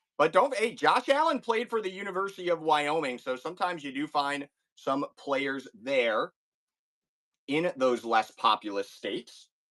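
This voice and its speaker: Animated and bright, sharp in tone, the voice has a Chicago accent, very wide pitch swings and a moderate pace, with a dry, close sound and no echo. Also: man, fairly high pitch for a man. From US Midwest, Chicago. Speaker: card break streamer. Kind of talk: live stream sales break.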